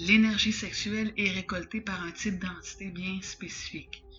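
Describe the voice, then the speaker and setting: Music plays in the background as a woman speaks at a fairly slow pace in a medium pitch. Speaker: spiritual teacher, channel owner. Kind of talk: spiritual teaching monologue.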